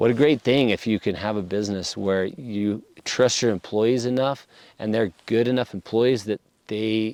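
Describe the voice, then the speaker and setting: With an American accent and fairly even intonation, a man speaks in an unremarkable speaking voice at a fairly low pitch, the sound dry and close with no echo over a quiet background. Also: moderate pace. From Idaho. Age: 40s. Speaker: locksmith, business owner. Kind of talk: podcast interview.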